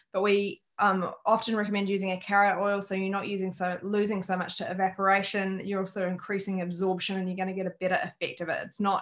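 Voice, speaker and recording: A woman with an Australian accent, medium pitch, very fast pace and monotone, flat intonation. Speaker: wellness educator. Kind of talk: online workshop presentation.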